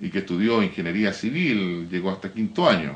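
A man speaks at a fairly quick pace. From Biobío, Chile. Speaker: teacher and graphic designer, mayor's adviser; teacher, mayor's adviser. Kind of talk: interview; interview answer. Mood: earnest, somewhat indignant. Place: studio.

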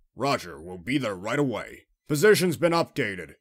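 In a very clean recording with a silent background, a put-on character voice speaks at a moderate pace and a low-to-middle pitch. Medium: voice reel.

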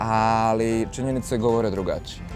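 Clear music plays behind a man who speaks at a moderate pace in a dry sound with no echo. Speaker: fitness coach interviewee. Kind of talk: interview answer. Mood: relaxed, smiling. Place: garden. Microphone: lapel.

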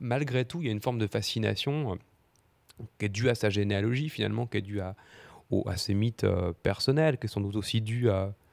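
A man's fairly low voice at a fairly quick pace with ordinary pitch variation. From eastern France, Doubs (Audincourt); eastern France. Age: 20s. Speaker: novelist; guest. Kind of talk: literary panel discussion. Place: studio. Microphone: handheld.

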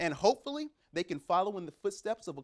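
The setting is quiet. A man does the talking. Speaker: TV sports anchor. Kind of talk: news presentation. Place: studio. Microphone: lapel.

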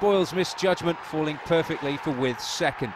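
Over noticeable background noise, a man talks quite quickly with lively intonation at a fairly high pitch. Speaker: documentary narrator. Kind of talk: scripted narration. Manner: formal, measured.

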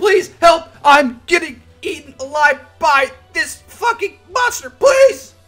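A put-on character voice at an extremely high pitch moves at a fairly slow pace, with faint music in the background. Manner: desperate, pleading.

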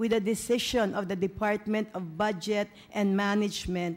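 A woman speaking at a fairly slow pace. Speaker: council majority leader. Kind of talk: formal council floor remarks. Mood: measured, pointing out discrepancy. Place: hall. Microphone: podium.

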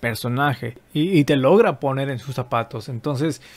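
A man speaks fairly slowly, and his pitch varies in an ordinary way. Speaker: dubbing reaction youtuber. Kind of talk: casual commentary. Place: home room. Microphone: studio mic.

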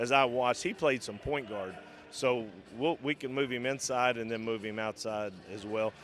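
This man talks at a moderate pace with ordinary pitch variation. The sound is dry with no echo, over light background noise. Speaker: basketball head coach. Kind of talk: interview answer. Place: stadium. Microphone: handheld.

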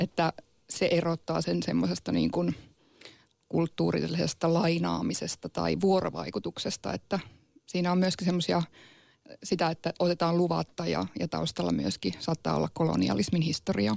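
A woman speaks at a moderate pace with very even loudness, the sound dry with no echo against a quiet background. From Sámi region, northern Finland; northern Finland. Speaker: Sámi activist. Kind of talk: radio debate. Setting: studio. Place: studio.

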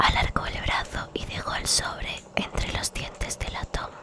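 A woman's whispering at a very slow pace. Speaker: ASMR creator. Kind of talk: whispered bedtime story reading. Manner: whispered, soft. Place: home room. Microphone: studio mic.

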